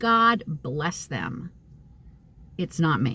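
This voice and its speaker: A woman with an American accent is talking. Her voice is somewhat breathy, with very wide pitch swings. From US Northeast (upstate New York). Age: 60s. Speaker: psychic medium vlogger. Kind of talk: casual vlog monologue. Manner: halting, many fillers.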